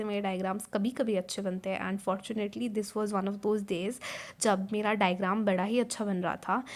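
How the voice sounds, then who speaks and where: Delivery comes at a moderate pace in a monotone, flat intonation. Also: woman. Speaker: student vlogger. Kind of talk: casual vlog narration. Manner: code-switching Hindi-English.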